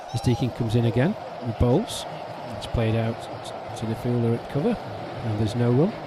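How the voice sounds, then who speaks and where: With an English accent, a man speaks at a fairly quick pace with long, frequent pauses and fairly even intonation, against noticeable background noise. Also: medium pitch for a man. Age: 50s. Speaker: cricket commentator. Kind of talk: live commentary.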